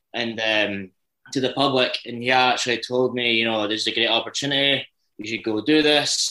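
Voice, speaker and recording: With a Dundee accent, a man speaks at a moderate pace and medium pitch, using fairly even intonation and a bright, sharp tone. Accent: Dundee Scottish. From Scotland, Dundee. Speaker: ice hockey player. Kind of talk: interview.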